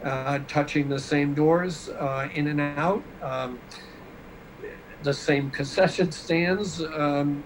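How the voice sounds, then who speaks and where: Speech comes at a very slow pace with long, frequent pauses and fairly even intonation. There is noticeable background noise and audible room echo. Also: man, fairly high pitch for a man. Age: 60s. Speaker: guest. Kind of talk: casual interview chat. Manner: halting, many fillers.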